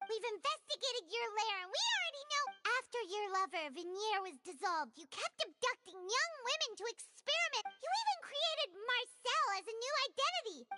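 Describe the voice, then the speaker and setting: A put-on character voice rattles along at a fairly quick pace with extremely high pitch. Music plays in the background. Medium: video game. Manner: bubbly, excitable.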